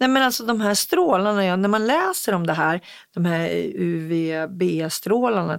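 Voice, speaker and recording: This is a normal speaking voice with lively intonation. The pace is fairly slow. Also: woman. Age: 50s. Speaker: podcast co-host. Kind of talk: casual chat.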